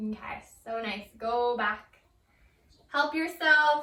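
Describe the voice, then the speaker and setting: A woman's raised, projected voice, bright and sharp in tone, at a very slow pace. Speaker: yoga instructor. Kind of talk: guided yoga class. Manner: casual.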